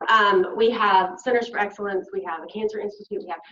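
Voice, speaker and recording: A woman with a Southern US accent talks at a very fast pace. Her pitch is medium, with ordinary pitch variation. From US South, Arkansas. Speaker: health literacy researcher, invited speaker. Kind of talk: conference lecture. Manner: animated.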